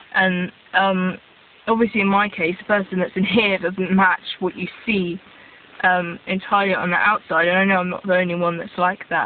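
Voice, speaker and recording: In an English accent, a woman speaks at a medium pitch in a monotone, flat intonation against noticeable background noise. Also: moderate pace. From England (born in Israel, raised in England from age 3-4). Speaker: vlogger. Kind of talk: casual vlog monologue.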